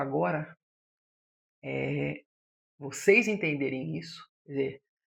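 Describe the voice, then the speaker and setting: A woman is speaking. Her pace is very slow. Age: 60s. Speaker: psychologist. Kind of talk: podcast monologue.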